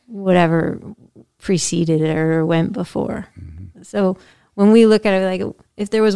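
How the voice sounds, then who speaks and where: On a very clean recording with a silent background, a woman speaks at a moderate pace with an American accent. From Massachusetts, US. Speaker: podcast host. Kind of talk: interview.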